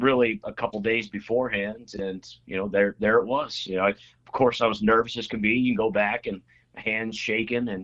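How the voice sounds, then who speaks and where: A man with an American accent uses an ordinary speaking voice at medium pitch, with fairly even intonation and a moderate pace. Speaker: state legislator. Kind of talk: casual interview chat. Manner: filler-heavy, repetitive.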